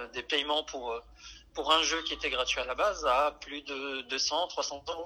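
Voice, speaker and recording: A man's fairly high voice, bright and sharp in tone, at a fairly slow pace with fairly even intonation. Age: 30s. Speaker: salesman and gamer. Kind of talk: testimony. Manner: halting, many fillers and repetitions.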